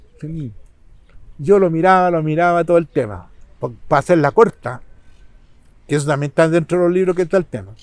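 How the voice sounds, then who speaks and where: With a Chilean accent, a man speaks at a fairly high pitch and a fairly quick pace, with ordinary pitch variation and long, frequent pauses. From Chile, San Bernardo. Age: 70s. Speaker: local community figure. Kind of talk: interview.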